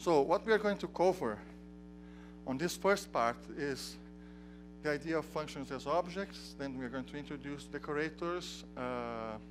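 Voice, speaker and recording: Moderate-paced speech in a Portuguese accent over music in the background. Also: man. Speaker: software developer and tutorial instructor. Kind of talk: technical tutorial. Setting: conference tutorial room with audience. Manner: halting, with frequent restarts.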